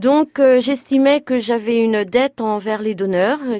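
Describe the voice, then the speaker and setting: A woman with a fairly high pitch and a dark, mellow tone speaks at a fairly slow pace, the sound dry and close with no echo. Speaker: blood donation volunteer. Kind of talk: interview. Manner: halting.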